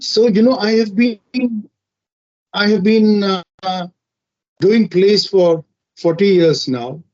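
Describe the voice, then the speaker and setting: This man speaks at a very slow pace with long, frequent pauses. His pitch is high, with ordinary variation. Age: 60s. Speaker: theatre and film actor, invited speaker. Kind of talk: online lecture. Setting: video call from a film caravan. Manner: halting, many repetitions and fillers.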